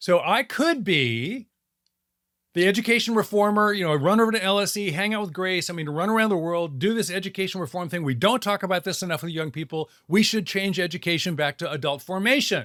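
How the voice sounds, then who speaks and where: With lively intonation and an animated tone, a man speaks at a fairly quick pace in a high pitch. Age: 70s. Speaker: author and design lecturer. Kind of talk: podcast interview.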